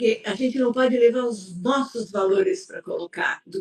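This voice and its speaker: A woman talks at a moderate pace in a somewhat breathy voice, with ordinary pitch variation. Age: 70s. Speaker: psychologist. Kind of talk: interview conversation. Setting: live stream.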